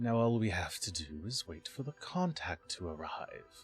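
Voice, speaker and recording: Faint music plays in the background as a man does a put-on character voice. It is creaky and medium in pitch, delivered at a moderate pace. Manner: slow, sinister.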